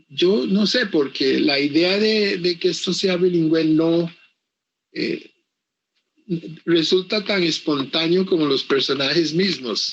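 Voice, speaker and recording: The speech moves at a very slow pace with long, frequent pauses, very even loudness and ordinary pitch variation. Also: man, high pitch for a man. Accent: English. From Costa Rica, Caribbean coast (Limón). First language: English (speaking Spanish). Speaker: author. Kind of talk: interview. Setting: virtual book fair presentation. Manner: halting, with many repetitions.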